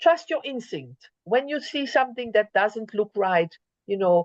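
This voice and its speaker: A woman at a fairly slow pace, with very wide pitch swings, in a dry, close sound with no echo. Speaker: conference speaker. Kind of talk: lecture.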